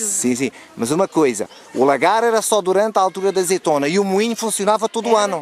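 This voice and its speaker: A man's high voice at a very fast pace, with lively intonation and very even loudness, the sound dry and close with no echo, plus noticeable background noise. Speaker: interviewer. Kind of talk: interview questions.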